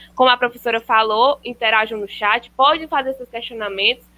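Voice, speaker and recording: This woman's pitch varies in an ordinary way. Her pace is moderate. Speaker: student monitor and event host. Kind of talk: formal event introduction. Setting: online live stream. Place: home room. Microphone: video call.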